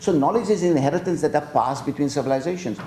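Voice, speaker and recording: Room echo can be heard around the voice. The man's delivery is very fast. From South Africa. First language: Gujarati. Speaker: professor. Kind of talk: lecture Q&A. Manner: halting.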